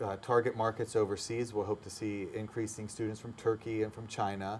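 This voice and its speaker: A man is speaking. His pace is fairly quick. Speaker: language school owner. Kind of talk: interview. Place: studio. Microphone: lapel.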